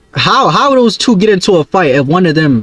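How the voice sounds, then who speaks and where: Over background music, a man speaks at a moderate pace. His high voice moves through very wide pitch swings. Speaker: YouTube reaction streamer. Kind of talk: casual reaction commentary.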